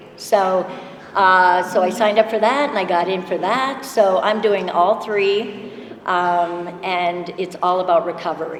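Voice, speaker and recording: Noticeable background noise and audible room echo surround a fairly slow delivery with ordinary pitch variation. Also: woman, medium pitch for a woman. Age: 60s. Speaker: ultrarunner. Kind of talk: panel introduction. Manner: halting.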